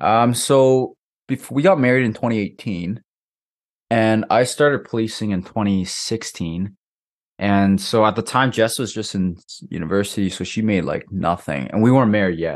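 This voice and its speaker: A man with a Canadian accent and a plain, everyday voice, medium in pitch with ordinary pitch variation, at a moderate pace against a quiet background. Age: 20s. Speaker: podcast co-host. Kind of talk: casual chat.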